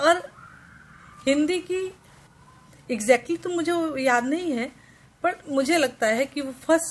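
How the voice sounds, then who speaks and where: A woman with a Bihar accent speaks in a high pitch, leaving long, frequent pauses. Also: ordinary pitch variation. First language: Maithili (speaking Hindi). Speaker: vlogger. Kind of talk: casual vlog talk to camera. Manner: halting, with fillers and restarts.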